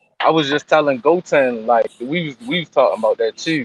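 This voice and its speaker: In a New York accent, a man talks at a moderate pace, the sound dry and close with no echo. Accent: New York accent, lighter than his barber's. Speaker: podcast co-host. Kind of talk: casual chat.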